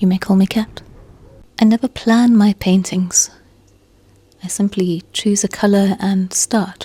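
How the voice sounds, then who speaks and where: A woman speaks very slowly with long, frequent pauses in a somewhat breathy, dark, mellow tone, her intonation monotone and flat and her loudness very even, in a dry, close sound with no echo. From South Africa, Cape Town. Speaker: painter. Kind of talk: voiceover narration. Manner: reflective.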